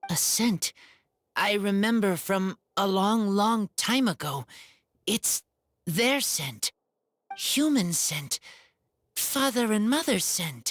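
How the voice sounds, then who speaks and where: In a put-on character voice, a female-sounding speaker uses a fairly high pitch at a very slow pace with long, frequent pauses. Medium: video game. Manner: terse, broken simple sentences.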